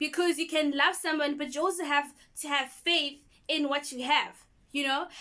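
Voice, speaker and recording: In a raised, projected voice, a woman speaks at a moderate pace, her high pitch carrying a bright, sharp tone and a monotone, flat intonation. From South Africa. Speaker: YouTuber. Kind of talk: vlog monologue. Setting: home in township. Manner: casual, conversational.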